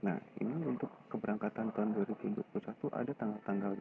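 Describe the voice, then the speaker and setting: A man is speaking. He is whispering. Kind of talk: screen-recorded website tutorial. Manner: whispered.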